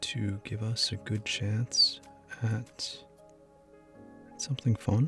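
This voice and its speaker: A soft-spoken man with a gentle tone talks at a very slow pace, with ordinary pitch variation. Long, frequent pauses break his speech while music plays in the background. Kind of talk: gaming commentary for sleep. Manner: soft-spoken, gentle.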